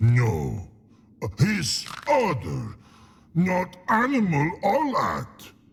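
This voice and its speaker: Using a put-on character voice, a man growls in a high pitch at a very slow pace. Long pauses come often. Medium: video game. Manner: broken, simple speech.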